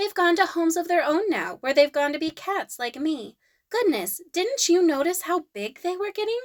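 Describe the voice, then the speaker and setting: A woman uses a put-on character voice. Her pitch is extremely high. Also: moderate pace. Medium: read story. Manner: brisk, curt.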